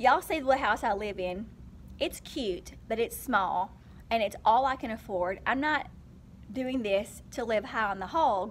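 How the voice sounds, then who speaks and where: A woman talks at a fairly slow pace with vocal fry and ordinary pitch variation over light background noise. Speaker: vlogger, teacher. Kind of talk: casual vlog chat. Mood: earnest, persuasive. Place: classroom. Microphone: phone near.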